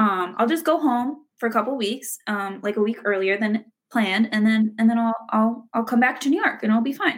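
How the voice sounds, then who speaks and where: Somewhat breathy, a woman talks at a fairly high pitch and moderate pace with ordinary pitch variation. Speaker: musical theater graduate. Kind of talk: casual chat. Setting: video call.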